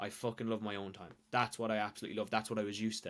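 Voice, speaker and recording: In an Irish accent, a man races along at a very fast pace with a fairly low pitch and monotone, flat intonation, captured in a very clean recording with a silent background. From Ireland. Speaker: weight loss coach and social media creator. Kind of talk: casual podcast chat. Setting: podcast.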